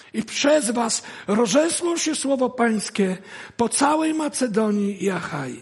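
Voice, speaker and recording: Over noticeable background noise, a man with an extremely high pitch speaks at a very slow pace with lively intonation. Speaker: guest preacher. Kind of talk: sermon.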